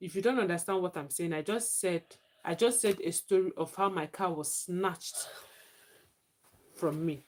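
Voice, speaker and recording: Moderately paced speech in a Nigerian accent, with ordinary pitch variation and long, frequent pauses. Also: woman, medium pitch for a woman. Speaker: livestreamer. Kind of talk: live stream chat.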